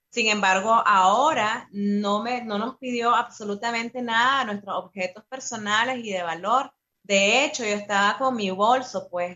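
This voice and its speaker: Fairly high in pitch with ordinary variation, a woman speaks at a fairly slow pace with hardly any pauses. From Nicaragua. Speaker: activist and musician in exile. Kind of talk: interview. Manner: halting.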